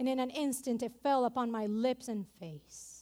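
A woman with a non-native accent speaks in an animated tone at a moderate pace. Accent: non-native accent, noticeable. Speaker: preacher. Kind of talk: sermon. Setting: church. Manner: animated, engaging the congregation.

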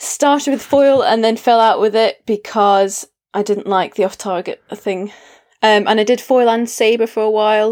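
A woman with a Scottish accent speaks at a moderate pace, her fairly high pitch held in fairly even intonation. Her loudness stays very even on a very clean recording with a silent background. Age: 20s. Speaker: fencer and youth coach. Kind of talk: casual chat.

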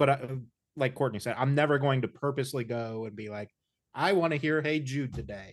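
An ordinary speaking voice with an American accent moves at a fairly quick pace against a quiet background. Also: man, medium pitch for a man, ordinary pitch variation. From Indiana. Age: 30s. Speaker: podcast host. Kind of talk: casual interview. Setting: video call.

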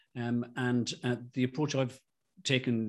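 A man speaks with an Irish accent at a moderate pace. The recording is very clean, with a silent background. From Ireland. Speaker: rheumatologist. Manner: halting.

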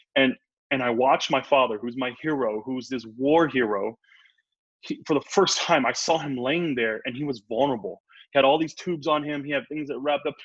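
In an ordinary speaking voice with an American accent, a man talks at a fairly quick pace and a fairly high pitch, with ordinary pitch variation over a quiet background. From US Midwest. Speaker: chef. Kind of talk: interview. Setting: video call.

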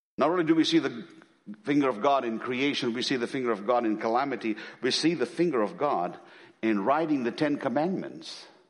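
In an Indian accent, a man of medium pitch speaks at a very fast pace with lively intonation. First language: an Indian language. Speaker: missionary preacher. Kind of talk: sermon. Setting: church. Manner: animated.

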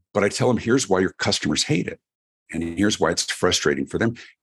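A man talks at a very fast pace with a General American accent. His voice carries vocal fry. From US, Colorado (Denver). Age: 50s. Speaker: keynote speaker and author. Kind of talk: podcast interview. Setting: remote interview.

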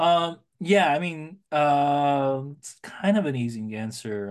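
Against a quiet background, a man speaks with an American accent and ordinary pitch variation. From US West Coast, San Francisco Bay Area. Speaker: film editor. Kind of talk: casual interview chat.

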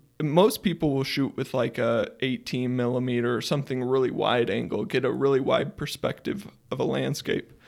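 A man's ordinary speaking voice at medium pitch, with a moderate pace, hardly any pauses and ordinary pitch variation, on a very clean recording with a silent background. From Idaho, US (small town). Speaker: photographer and geology student. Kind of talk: casual chat.

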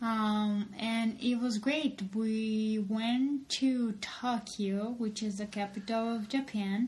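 Very slowly and with hardly any pauses, a woman speaks in a fairly high, somewhat breathy voice with monotone, flat intonation. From Colombia. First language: Spanish. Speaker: podcast co-host. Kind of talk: casual chat.

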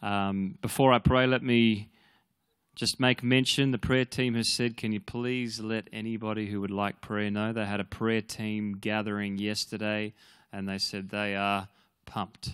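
In a quiet background with a dry, close sound and no echo, a man talks at a fairly slow pace with a fairly low pitch and monotone, flat intonation. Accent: Australian. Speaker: pastor. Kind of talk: prayer and church announcements. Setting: church.

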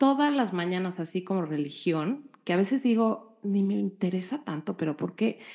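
A woman speaks in a normal speaking voice at a moderate pace, her intonation lively. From Mexico. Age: 40s. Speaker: podcast co-host. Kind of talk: casual chat.

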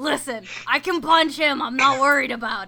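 A woman uses a high-pitched, put-on character voice at a moderate pace. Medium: actual play. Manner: brash, gruff.

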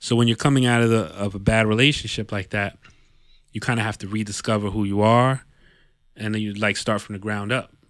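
A man with a New York accent, fairly low in pitch, monotone and flat, at a fairly quick pace with long, frequent pauses, on a very clean recording with a silent background. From New York City area (Yonkers). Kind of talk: casual chat. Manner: halting, many repetitions.

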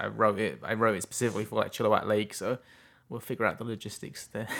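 A man with an English accent, fairly low in pitch, at a very fast pace. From England. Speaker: independent filmmaker and film festival director. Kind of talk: casual interview chat. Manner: laughs often.

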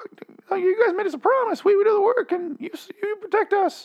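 A man puts on a character voice at an extremely high pitch. His voice is hoarse, and his pace is moderate.

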